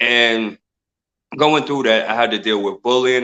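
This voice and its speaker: A man with a New York accent. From Brooklyn, New York. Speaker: mindset coach and inspirational speaker. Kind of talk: interview.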